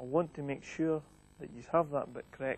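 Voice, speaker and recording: Somewhat breathy and at a moderate pace, the voice keeps a fairly even intonation with a dry sound and no echo. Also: man. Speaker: bowls coach. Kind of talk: tutorial. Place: hall.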